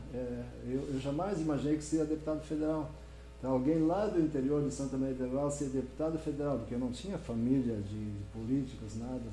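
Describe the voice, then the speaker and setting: A man talks at a fairly quick pace in a southern Brazilian accent. There is noticeable background noise and audible room echo. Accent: southern Brazilian (gaúcho) Portuguese. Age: 60s. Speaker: politician. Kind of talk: interview. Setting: live-streamed podcast in coworking space.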